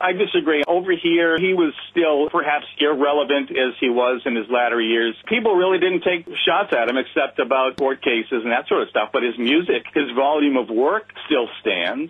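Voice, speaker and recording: Against noticeable background noise, a man with a fairly high pitch and lively intonation talks at a moderate pace with hardly any pauses and very even loudness. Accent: American. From United States. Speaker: radio commentator, guest caller. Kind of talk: radio interview answer.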